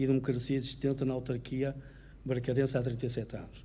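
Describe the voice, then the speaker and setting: A man rushes along at a very fast pace in a monotone, flat intonation. His dark, mellow, somewhat breathy voice carries audible room echo. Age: 70s. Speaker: mayoral candidate, retired solicitor. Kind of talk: political debate. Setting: auditorium with audience, broadcast on radio.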